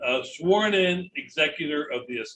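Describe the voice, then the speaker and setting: Bright and sharp in tone, a man's high voice carries lively intonation. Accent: western Pennsylvania. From Pittsburgh, Pennsylvania. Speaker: estate lawyer. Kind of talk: lecture. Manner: fast.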